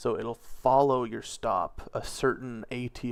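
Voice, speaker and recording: This man has an unremarkable speaking voice at medium pitch, talking at a fairly slow pace in a very clean recording with a silent background. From Canada. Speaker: day trader. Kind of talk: casual chat.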